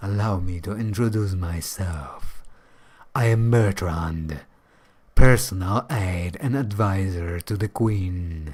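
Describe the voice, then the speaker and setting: A man's put-on character voice, fairly low-pitched and fairly slow. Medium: game stream. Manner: formal, courtly.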